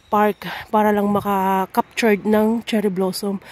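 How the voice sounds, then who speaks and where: A woman with a dark, mellow tone and fairly high pitch speaks in a monotone, flat intonation, with dry, close sound and no echo. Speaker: vlogger. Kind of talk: casual vlog narration.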